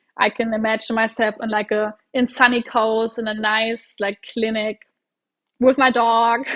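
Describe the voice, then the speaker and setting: Speaking in a German accent, a woman uses a fairly high pitch, a monotone, flat intonation and a fairly slow pace. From Germany. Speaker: doctor. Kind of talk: casual interview chat.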